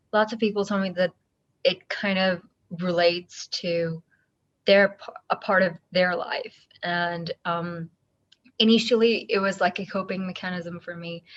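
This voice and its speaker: A woman's medium-pitched, monotone voice, flat in intonation and fairly slow, with long, frequent pauses and big swings in loudness. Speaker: singer-songwriter. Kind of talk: interview. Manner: halting, many fillers.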